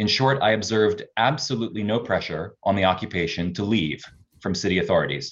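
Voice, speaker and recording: With a Canadian accent and an ordinary speaking voice, a man talks at a fairly quick pace, his pitch fairly low with ordinary variation. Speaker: researcher. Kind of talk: public testimony.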